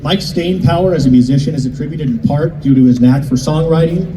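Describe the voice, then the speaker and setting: Speaking with an American accent, a man sounds through audible room echo and noticeable background noise. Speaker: mayor presenting a civic honor. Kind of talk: ceremonial public speech. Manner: formal, partly read from prepared text.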